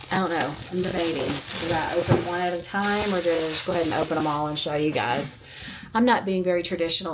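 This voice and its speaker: At a fairly quick pace and a fairly low pitch, a woman talks with ordinary pitch variation over audible room echo. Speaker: lifestyle vlogger. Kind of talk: casual chat. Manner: chatty.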